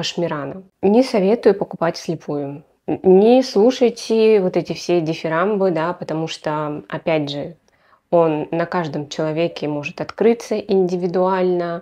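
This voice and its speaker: Against a quiet background, a woman speaks fairly slowly with a fairly low pitch and ordinary pitch variation. Her tone is dark and mellow. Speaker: perfume blogger. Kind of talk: casual product review vlog. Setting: home, on camera. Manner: animated. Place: home room. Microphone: lapel.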